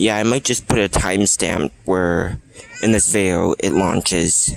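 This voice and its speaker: The speech moves at a fairly slow pace with very even loudness and ordinary pitch variation. Noticeable background noise is present. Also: man, very deep, low pitch for a man. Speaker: vlogger. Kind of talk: casual vlog commentary. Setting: outdoors on a beach. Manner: excited; soft-spoken.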